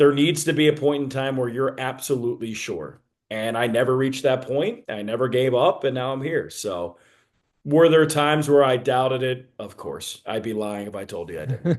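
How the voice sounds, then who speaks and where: Against a quiet background, a man with an American accent talks at a moderate pace and medium pitch with ordinary pitch variation. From Philadelphia, US East Coast. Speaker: baseball play-by-play broadcaster. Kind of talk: podcast interview.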